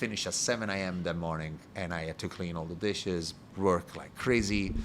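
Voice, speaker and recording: A man speaks with a very deep, low pitch and an Italian accent. His intonation stays fairly even. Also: moderate pace. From Italy (Rome). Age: 30s. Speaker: bar owner and bartender. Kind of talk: interview podcast conversation. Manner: halting.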